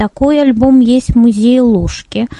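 The sound is dry and close with no echo as a woman speaks at a fairly slow pace with ordinary pitch variation. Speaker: head of a tourism accessibility organization, blind tour guide. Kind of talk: webinar presentation. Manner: clear, well-structured speech.

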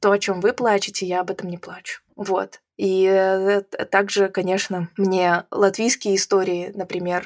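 A woman speaks at a fairly slow pace with monotone, flat intonation. The sound is dry and close, with no echo. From Belarus. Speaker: IT event organizer. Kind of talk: interview conversation.

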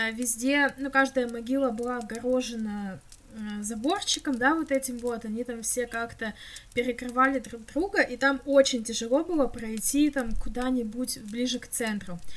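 Against noticeable background noise, a woman speaks at a high pitch and moderate pace. Her pitch varies in an ordinary way, and her loudness swings widely. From Russia, Krasnoyarsk. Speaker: podcast co-host. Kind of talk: casual chat.

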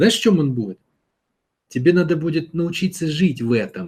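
This man has a fairly high pitch, a dark, mellow tone and a somewhat breathy quality. His intonation is lively and his pace fairly quick. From Russia, St Petersburg. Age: 30s. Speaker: self-development mentor answering listener questions. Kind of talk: monologue answering a listener's question. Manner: conversational, addressing listener directly.

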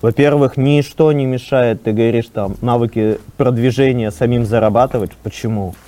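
Moderately paced, a man talks at a medium pitch with fairly even intonation in an unremarkable speaking voice. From Russia, Arkhangelsk. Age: 30s. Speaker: startup co-founder. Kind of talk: podcast interview.

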